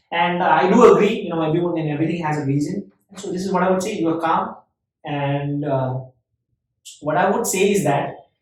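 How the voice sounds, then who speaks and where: A man with a high pitch talks at a fairly quick pace, with long, frequent pauses and ordinary pitch variation. Audible room echo surrounds the recording. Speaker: podcast host. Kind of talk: casual chat. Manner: fast.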